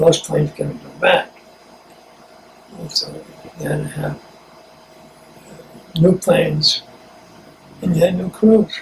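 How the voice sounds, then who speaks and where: Against noticeable background noise, a man with an American accent speaks at a high pitch and a fairly slow pace, with big swings in loudness and long, frequent pauses. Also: ordinary pitch variation. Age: 80s+. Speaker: war veteran. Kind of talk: interview answer.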